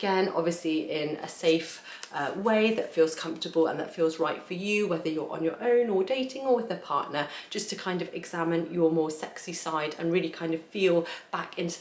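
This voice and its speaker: Noticeable background noise sits behind a voice with a warm tone. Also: woman. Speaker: tarot reader. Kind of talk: tarot reading talk to camera. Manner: casual, warm.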